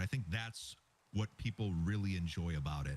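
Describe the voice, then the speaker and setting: This is a man's voice. It sounds somewhat breathy. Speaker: gamer. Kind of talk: casual chat.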